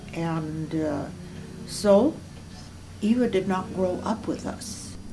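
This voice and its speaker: Music plays in the background. A woman with a fairly low pitch and an Upper Midwest accent speaks with lively intonation. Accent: Upper Midwest American. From Moorhead, Minnesota. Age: 80s+. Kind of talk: oral history interview answer.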